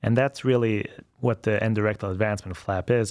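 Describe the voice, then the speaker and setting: Speaking at a fairly quick pace, a man with a German accent uses a medium pitch and ordinary pitch variation. The sound is dry and close, with no echo. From Austria, Vienna. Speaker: colorectal surgeon. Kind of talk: interview.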